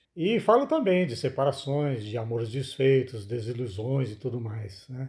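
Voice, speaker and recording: A man speaks at a moderate pace with medium pitch and ordinary pitch variation. His tone is dark and mellow, somewhat breathy. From Brazil, Minas Gerais. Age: 60s. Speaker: author. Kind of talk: interview.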